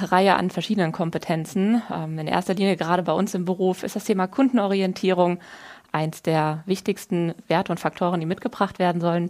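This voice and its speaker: A woman speaks at a fairly quick pace with a medium pitch and fairly even intonation. She has a normal speaking voice. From Germany, Wiesbaden (Hesse). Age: 30s. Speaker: financial consultant. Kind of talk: podcast interview. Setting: studio.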